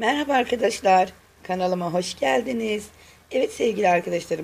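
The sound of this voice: A woman puts on a raspy, hoarse character voice at medium pitch. Her intonation is lively and her pace moderate.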